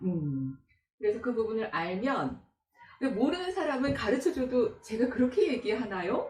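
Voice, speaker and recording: A woman talks at a moderate pace, her high pitch rising and falling in very wide swings. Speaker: announcer and voice coach. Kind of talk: coaching talk.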